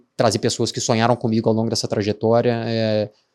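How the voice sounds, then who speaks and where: A medium-pitched man with a Minas Gerais accent on a very clean recording with a silent background. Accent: noticeable Minas Gerais (mineiro). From Minas Gerais, Brazil. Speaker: tech startup founder. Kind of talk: podcast interview. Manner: hesitant, many filler words.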